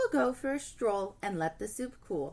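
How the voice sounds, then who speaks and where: A growling, put-on character voice moves along at a moderate pace. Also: woman, medium pitch for a woman. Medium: read story. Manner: huffy, growly.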